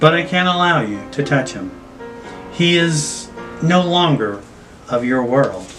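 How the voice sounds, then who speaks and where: Putting on a squeaky character voice, a man speaks at a fairly high pitch and a fairly slow pace, with clear music in the background. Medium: read story. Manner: carefree, sweetly calm.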